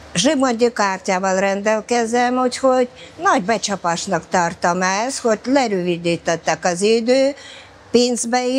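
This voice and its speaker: A woman speaks at a fairly slow pace in a fairly high voice, with ordinary pitch variation and noticeable background noise. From former Soviet Union. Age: 70s. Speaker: bath regular, pensioner. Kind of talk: interview. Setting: thermal bath.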